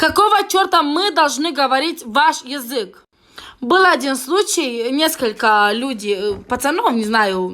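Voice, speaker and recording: In a raised, projected voice with a bright, sharp tone, a woman speaks at a very slow pace, her high pitch making very wide swings. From Moldova. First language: Romanian (Moldovan) (speaking Russian). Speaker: vlogger. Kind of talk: angry video rant. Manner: halting; heated.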